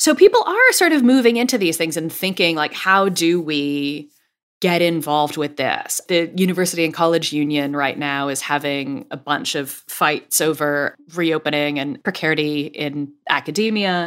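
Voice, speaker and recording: In a very clean recording with a silent background, a woman with an American accent and an unremarkable speaking voice talks at a moderate pace with hardly any pauses, her pitch fairly low and her pitch variation ordinary. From United States. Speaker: journalist and author. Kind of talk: interview conversation.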